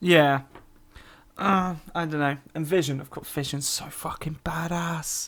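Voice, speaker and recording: Someone with a British accent speaks at a fairly slow pace. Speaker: podcast co-host. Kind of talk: casual chat.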